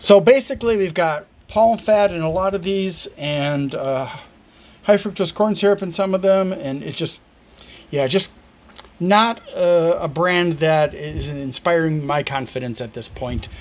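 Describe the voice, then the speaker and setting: Noticeable background noise sits behind a man speaking fairly slowly. His voice is high-pitched, with lively intonation. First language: not Spanish. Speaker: product reviewer. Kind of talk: product review. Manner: halting.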